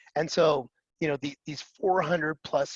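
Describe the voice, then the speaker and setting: Against a quiet background, a man with an American accent speaks at a fairly quick pace in a fairly high pitch, the sound dry and close with no echo. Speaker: cloud security vendor presenter. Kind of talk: webinar presentation. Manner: fast.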